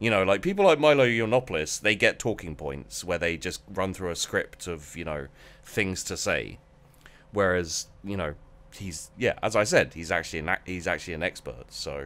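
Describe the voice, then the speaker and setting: Lively in intonation, a man with a very deep, low pitch talks at a moderate pace. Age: 30s. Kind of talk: casual chat.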